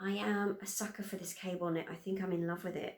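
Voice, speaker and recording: A woman with a British accent speaks at medium pitch with fairly even intonation. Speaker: sewing vlogger. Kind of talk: casual chat.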